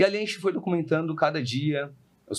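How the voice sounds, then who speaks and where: The recording is very clean with a silent background, and a man speaks with lively intonation. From São Paulo, Brazil. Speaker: podcast host, real estate investor. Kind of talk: casual podcast conversation.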